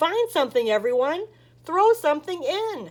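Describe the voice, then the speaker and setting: A woman uses a squeaky, put-on character voice pitched extremely high. Her pitch swings very widely, and her pace is moderate. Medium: read story. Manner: warm and friendly.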